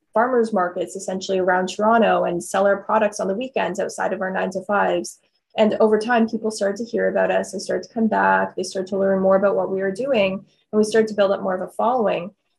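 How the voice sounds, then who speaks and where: The voice moves at a fairly quick pace with vocal fry. Its intonation is monotone and flat. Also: woman. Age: 20s. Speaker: skincare entrepreneur. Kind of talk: interview.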